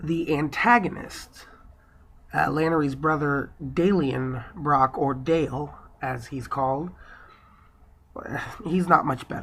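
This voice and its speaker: The pace is very slow. Long pauses come often. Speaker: book reviewer. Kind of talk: casual book review talk.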